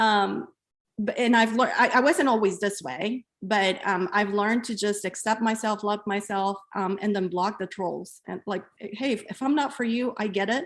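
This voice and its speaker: At a moderate pace, a woman talks with a non-native accent and ordinary pitch variation. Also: medium pitch for a woman. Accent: non-native English, mispronounces words. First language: not English. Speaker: podcast host. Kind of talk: casual interview chat. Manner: halting with fillers.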